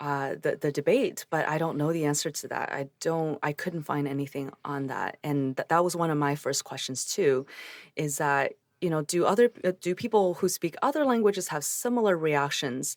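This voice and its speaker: A woman's very deep, low voice in a Chinese accent, with ordinary pitch variation and a moderate pace, in a very clean recording with a silent background and a dry, close sound with no echo. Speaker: psychologist. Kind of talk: interview conversation.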